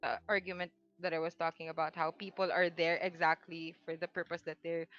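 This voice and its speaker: A woman talks at a fairly quick pace with a monotone, flat intonation. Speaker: anonymous podcast guest. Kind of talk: personal storytelling on a casual podcast. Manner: halting, many self-corrections; nervous laughter while telling a sad story.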